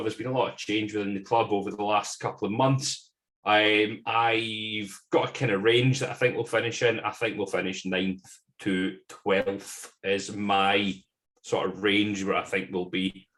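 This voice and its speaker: The speaker has a Scottish accent and a moderate pace. The intonation stays fairly even. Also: man. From Scotland. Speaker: football fan podcast guest. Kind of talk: casual chat.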